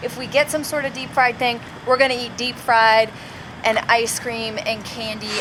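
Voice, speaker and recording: A woman's high-pitched voice at a fairly slow pace, fairly even in intonation, over noticeable background noise. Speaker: comedian. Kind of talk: casual chat.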